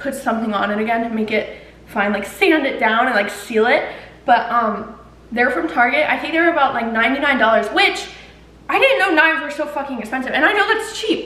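A woman's raised, projected voice at a fairly quick pace, with audible room echo. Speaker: home cook vlogger. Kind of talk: casual vlog chat. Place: kitchen.

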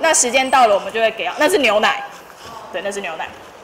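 A high-pitched woman speaks with a Taiwanese accent. Her pitch swings very widely over light background noise. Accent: Taiwanese Mandarin. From Tainan, Taiwan. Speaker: long-term care nurse. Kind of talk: school career talk. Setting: classroom with students. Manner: fast talker; casual, humorous. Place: classroom. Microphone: handheld.

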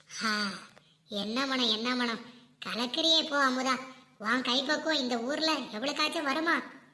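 A cartoonish character voice that sounds female speaks at a high pitch and fairly slow pace. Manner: talks to herself, grumbling.

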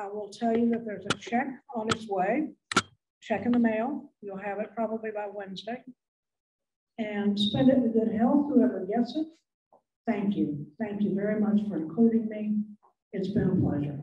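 A woman's fairly high, somewhat breathy voice with a dark, mellow tone, ordinary pitch variation, long and frequent pauses, and audible room echo. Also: moderate pace. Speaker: widow of a donor. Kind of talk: memorial speech. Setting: banquet hall with audience. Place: hall.

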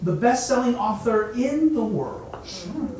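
A man talks at a fairly slow pace. Light background noise and audible room echo can be heard. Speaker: event host. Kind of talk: introduction. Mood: warm, welcoming. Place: hall.

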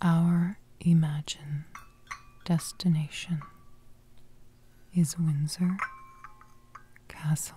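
Delivery is very slow, and noticeable noise sounds in the background. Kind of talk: ASMR guided imagery narration. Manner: whispered.

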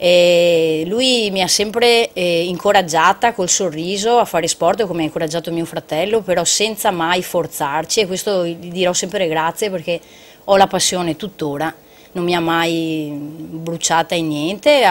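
A woman speaks at a moderate pace in a fairly low pitch, with ordinary pitch variation. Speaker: triathlete. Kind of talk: casual TV talk show. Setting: TV studio. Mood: reflective, warm. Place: studio. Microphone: lapel.

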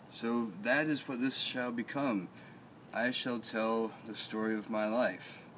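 A man talks at a very slow pace and a medium pitch. Light background noise can be heard. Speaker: comedian. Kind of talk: casual chat. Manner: animated. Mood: relaxed, playful. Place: garden.

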